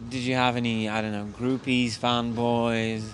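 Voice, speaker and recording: Noticeable background noise sits behind a man speaking at a moderate pace. His medium pitch stays monotone, with flat intonation. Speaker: esports interviewer. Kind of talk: casual interview. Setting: gaming event.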